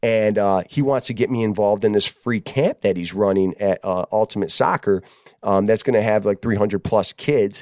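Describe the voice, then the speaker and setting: Speaking at a moderate pace, a man uses a fairly low pitch and fairly even intonation, with a dry, close sound that has no echo. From Detroit, Michigan (west side). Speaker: podcast host. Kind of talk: casual conversation. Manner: halting, many repetitions and fillers.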